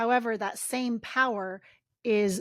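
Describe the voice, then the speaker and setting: A woman's intense voice with ordinary pitch variation, in a very clean recording with a silent background. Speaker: podcast co-host. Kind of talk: podcast discussion. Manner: loud, intense.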